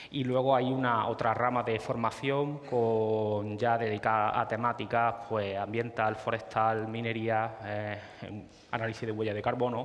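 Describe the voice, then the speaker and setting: A man's medium-pitched, flat monotone at a fairly slow pace, with audible room echo and noticeable background noise. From Spain, Córdoba (Andalusia). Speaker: GIS consultant presenting at a tech talk. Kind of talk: conference presentation. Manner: halting, many fillers and repetitions.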